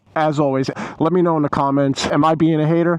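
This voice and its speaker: A dry, close sound with no echo frames speech at a fairly quick pace. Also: man. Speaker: motorcycle vlogger. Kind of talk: rant. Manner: animated; casual.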